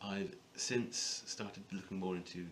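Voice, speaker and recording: There is audible room echo around a man with a very deep, low pitch. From West Midlands, England (Wolverhampton). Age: 20s. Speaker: digital marketing technical executive. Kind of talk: staff introduction video, casual talk to camera.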